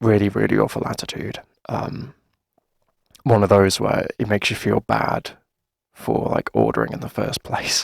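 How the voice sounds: In a dry, close sound with no echo, a man uses a put-on character voice with fairly low pitch, big pitch swings and vocal fry, at a fairly slow pace.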